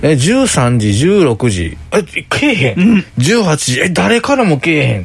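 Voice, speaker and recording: Against noticeable background noise, a man speaks very slowly at a fairly high pitch, his pitch swinging very widely while his loudness stays very even. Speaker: podcast co-host. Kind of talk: casual chat.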